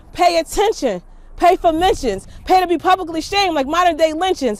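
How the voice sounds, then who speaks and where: Lively intonation carries speech that runs fairly fast. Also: woman. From Philadelphia, Point Breeze. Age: 30s. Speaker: teacher, spoken word artist, council candidate. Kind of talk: spoken word poetry performance.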